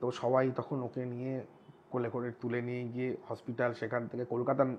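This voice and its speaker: His intonation is flat, a monotone. The man's pitch is medium. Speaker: horror audio story narrator. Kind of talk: podcast interview answer.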